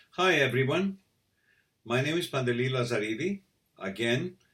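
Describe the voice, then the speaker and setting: Speaking with a Greek accent, a man uses lively intonation. His pitch sits at a medium level. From Greece. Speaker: voice coach. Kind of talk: tutorial. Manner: halting, many fillers.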